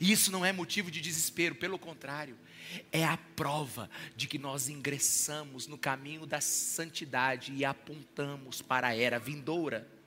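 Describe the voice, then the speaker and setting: A man with a plain, everyday voice keeps a fairly high pitch and moderate pace, his pitch varying in an ordinary way. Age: 40s. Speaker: pastor. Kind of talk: sermon.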